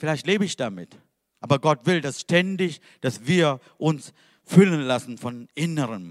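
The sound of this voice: In a very clean recording with a silent background, a man speaks at a fairly slow pace with lively intonation. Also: fairly high pitch for a man.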